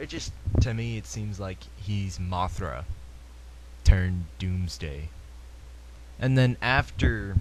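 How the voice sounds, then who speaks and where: This man talks at a very slow pace with very wide pitch swings. Vocal fry runs through his voice. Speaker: gaming podcaster. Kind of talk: solo podcast commentary. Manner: casual, hesitant.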